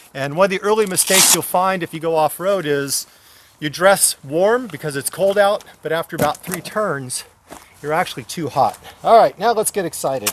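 Moderate pace and ordinary pitch variation, with a dry sound with no echo over noticeable background noise. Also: man, high pitch for a man. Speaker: motorcycle rider reviewing gear. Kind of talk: tutorial. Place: open country. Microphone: phone near.

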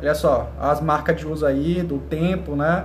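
Light background noise and audible room echo around a male speaker. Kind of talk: tutorial. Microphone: phone near.

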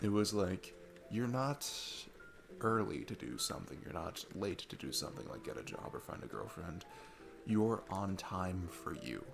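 A man puts on a low-pitched character voice with vocal fry and big pitch swings, at a moderate pace. Faint music sits in the background.

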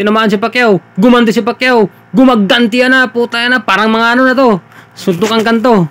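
A man speaks at a high pitch and a fairly quick pace. The sound is dry and close, with no echo. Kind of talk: live boxing commentary over fight footage. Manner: animated, laughing, joking and chiming in with fan-like reactions.

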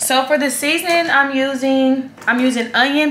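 A woman speaks at a high pitch. Her tone is bright and sharp, with audible room echo.

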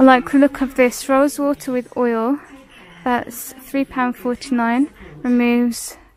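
A woman's high-pitched voice, monotone with flat intonation, at a fairly slow pace, with a dry sound and no echo. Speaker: shopping vlogger. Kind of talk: casual shop-with-me commentary. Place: shop. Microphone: phone near.

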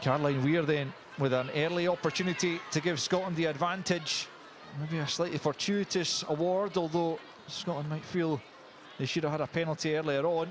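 This man talks at a fairly quick pace in an ordinary speaking voice, pitched fairly high with fairly even intonation. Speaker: match commentator. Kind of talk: live match commentary.

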